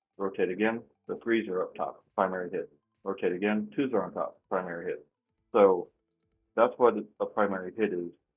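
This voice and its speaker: Music can be heard behind the voice. A man talks, stopping often for long pauses. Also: fairly quick pace. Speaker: dice control practice shooter. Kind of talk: casual commentary tutorial. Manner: monotone; pausing.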